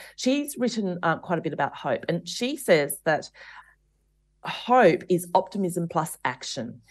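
A fairly low-pitched woman with an Australian accent, at a fairly slow pace with very wide pitch swings, over a quiet background. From Australia, rural. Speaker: author and podcaster. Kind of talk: interview. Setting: remote interview.

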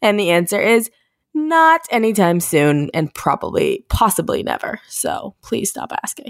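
A woman with an American accent speaks at a fairly high pitch and a fairly slow pace, swinging very widely in pitch. The sound is dry and close, with no echo. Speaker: podcast host and influencer. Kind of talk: casual chat. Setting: remote recording from home.

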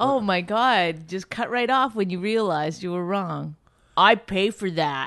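A woman speaks at a medium pitch with ordinary pitch variation. She goes at a fairly slow pace against a quiet background. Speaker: comedian and podcast co-host. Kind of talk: casual chat.

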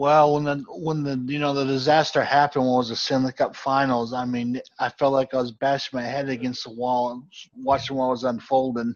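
The speaker is a man moving at a fairly quick pace. His delivery stays monotone and flat. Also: medium pitch for a man. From Boston area, Massachusetts. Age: 40s. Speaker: sports podcast host. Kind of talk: casual chat.

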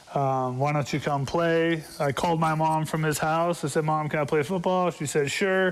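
A man with a plain, everyday voice speaks at a moderate pace with hardly any pauses, his fairly high pitch and fairly even intonation held at a very even loudness. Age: 40s. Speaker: former football player and coach. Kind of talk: radio sports interview.

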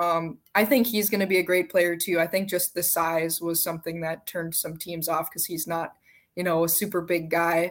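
A woman with a normal speaking voice talks at a moderate pace in a fairly low pitch. Her intonation stays fairly even, and the recording is very clean with a silent background. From Minnesota. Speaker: hockey journalist, podcast co-host. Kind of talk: casual chat.

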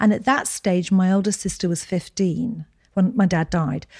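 On a very clean recording with a silent background, a woman with a dark, mellow tone and medium pitch speaks somewhat breathily at a moderate pace with ordinary pitch variation. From Scotland, Edinburgh. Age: 60s. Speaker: skincare company founder. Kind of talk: interview.

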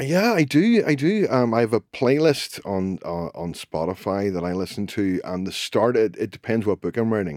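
A man with a Northern Irish accent speaks at a medium pitch with lively intonation. He keeps a moderate pace with hardly any pauses on a very clean recording with a silent background. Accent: Northern Irish (Belfast). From Northern Ireland, Belfast. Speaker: crime novelist. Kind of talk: casual interview.

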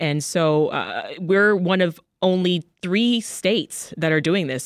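Here is a woman with a plain, everyday voice. Her pitch is fairly low, with ordinary pitch variation. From Toronto, Canada and Jamaica. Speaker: radio host. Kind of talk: casual chat.

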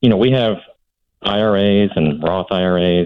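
A man's very deep, low voice. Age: 50s. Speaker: caller. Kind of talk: phone-in call.

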